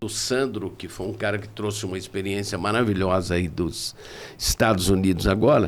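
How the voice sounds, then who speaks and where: Audible room echo surrounds a man as he speaks. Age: 70s. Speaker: tourism professor and consultant. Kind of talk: podcast interview.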